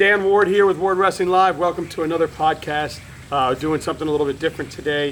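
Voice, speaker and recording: Very fast and fairly even in intonation, a man with an American accent and a high pitch speaks against noticeable background noise. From South Florida. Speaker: wrestling podcast host. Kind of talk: casual interview. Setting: at home.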